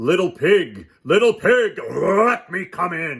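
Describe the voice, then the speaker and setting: In a put-on character voice, a man growls at a high pitch. He speaks at a very slow pace. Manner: growling, menacing.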